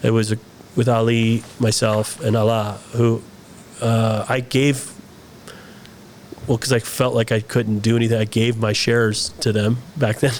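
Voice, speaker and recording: A man at medium pitch talks at a fairly slow pace in a flat monotone, with very even loudness, long, frequent pauses and noticeable background noise. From US, born in Saudi Arabia to expat family. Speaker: film director and actor. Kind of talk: interview conversation. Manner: hesitant, many fillers and restarts.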